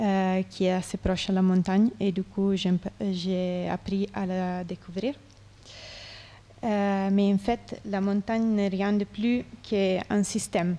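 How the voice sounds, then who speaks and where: A woman speaks at a very slow pace in a flat, monotone delivery. Her voice sits at a medium pitch and has a dark, mellow tone. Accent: non-native. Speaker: artist. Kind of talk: conference interview. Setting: conference with audience. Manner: halting, many hesitations.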